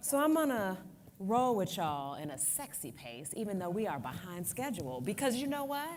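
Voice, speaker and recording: Her pitch swings very widely around a medium level for a woman as she speaks at a moderate pace. Audible room echo surrounds the woman's voice. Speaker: advocacy organization president. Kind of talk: conference speech.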